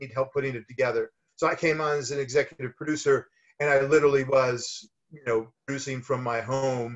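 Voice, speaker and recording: Against a quiet background, a man speaks at a fairly quick pace with a fairly high pitch, a somewhat breathy sound and monotone, flat intonation. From US, Miami. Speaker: film producer; guest. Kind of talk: casual interview. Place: home room. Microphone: webcam.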